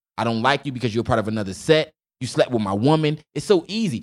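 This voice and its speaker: The speaker has an American accent and talks at a very fast pace. The recording is very clean, with a silent background. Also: man. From Newark, New Jersey. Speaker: educator and singer. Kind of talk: casual chat.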